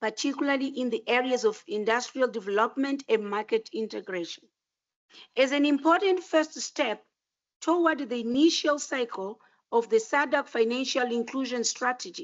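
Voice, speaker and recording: A woman speaks at a high pitch and a moderate pace. Her intonation is lively. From Mozambique. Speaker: regional official giving welcome address. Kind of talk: formal welcome speech. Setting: conference auditorium. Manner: formal.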